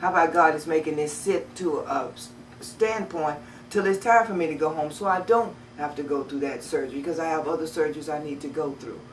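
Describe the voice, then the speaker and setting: Over noticeable background noise and audible room echo, a woman talks fairly quickly at a very deep, low pitch with ordinary pitch variation. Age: 50s. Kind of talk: personal testimony to camera. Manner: halting.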